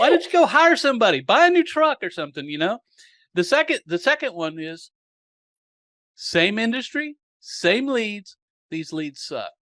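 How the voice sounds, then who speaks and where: With a Southern US accent, a man speaks at an extremely high pitch in a bright, sharp tone, his pitch swinging very widely and his loudness in big swings, with long, frequent pauses and a dry, close sound with no echo. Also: moderate pace, very clean recording, silent background. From US South. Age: 60s. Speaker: marketing podcast host. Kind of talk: interview, casual chat.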